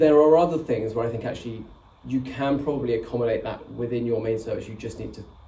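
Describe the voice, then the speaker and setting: The room echo is audible as a man speaks. His intonation is fairly even. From England, Oxford. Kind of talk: talk Q&A. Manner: slightly slurred.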